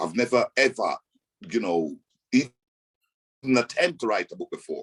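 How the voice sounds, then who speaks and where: The sound is dry and close, without any echo. A man talks at a moderate speed. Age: 60s. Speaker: author. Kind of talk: casual radio chat. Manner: halting.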